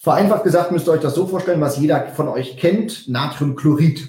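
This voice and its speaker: This is a man speaking. His pitch is fairly high. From Westphalia. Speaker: nutrition consultant and speaker. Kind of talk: casual chat. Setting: video recording with live viewers.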